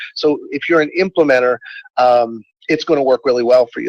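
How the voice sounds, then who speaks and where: A man at a fairly quick pace, the sound dry and close with no echo. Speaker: real estate trainer. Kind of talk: webinar lecture. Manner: fast.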